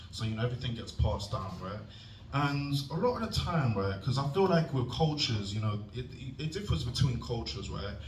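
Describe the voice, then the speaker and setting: Noticeable background noise and audible room echo surround a man whose medium-pitched voice has lively intonation. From England. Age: 20s. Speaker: stand-up comedian. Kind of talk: stand-up. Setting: stage with audience. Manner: animated.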